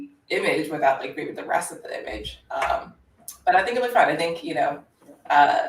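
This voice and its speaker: A woman speaks with an American accent. Her pace is fairly quick. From United States. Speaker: open-source investigator. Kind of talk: live stream, solving puzzles aloud. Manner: halting, many fillers.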